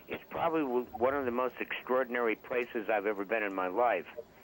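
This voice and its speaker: Noticeable background noise runs under a man's voice. He speaks at a moderate pace with ordinary pitch variation. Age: 70s. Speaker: caller, army band veteran. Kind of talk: radio call-in chat. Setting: phone call. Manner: halting, repeats words. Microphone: too quiet.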